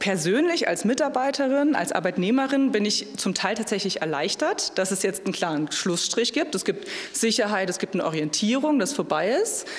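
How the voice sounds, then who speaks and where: A woman's voice with very wide pitch swings, a moderate pace and hardly any pauses. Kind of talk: interview answer. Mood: thoughtful, slightly wistful. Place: hall. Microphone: handheld.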